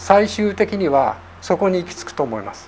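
There is noticeable background noise behind a man's voice. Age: 60s. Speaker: zen meditation teacher. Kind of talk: lecture.

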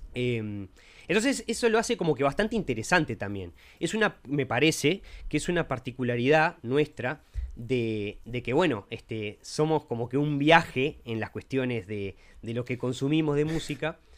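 A normal speaking voice from a man, medium in pitch, with lively intonation at a moderate pace. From Uruguay (Montevideo). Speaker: podcast co-host, lawyer. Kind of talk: casual chat.

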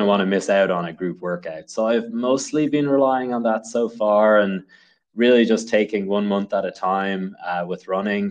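A man with a Dublin accent, moderate pace and fairly even intonation over a quiet background. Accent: Dublin Irish. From Ireland, Dublin. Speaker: engineer and amateur runner. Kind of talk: casual interview.

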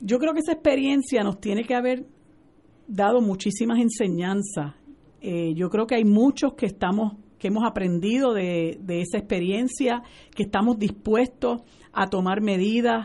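A woman speaks with a dark, mellow tone, her fairly high pitch moving with ordinary variation. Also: moderate pace. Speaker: lawyer, political panelist. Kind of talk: political panel discussion.

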